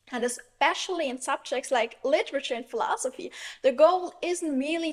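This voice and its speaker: A woman with a German accent speaks with ordinary pitch variation. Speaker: philosophy YouTuber. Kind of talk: monologue. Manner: hesitant with filler words.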